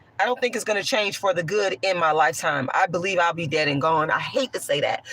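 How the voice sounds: A woman's voice sounds hoarse with a fairly bright tone. Her pitch varies in an ordinary way.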